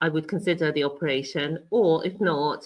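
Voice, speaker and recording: In a British accent, a woman speaks at a moderate pace with ordinary pitch variation. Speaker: cancer patient and health coach. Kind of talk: interview.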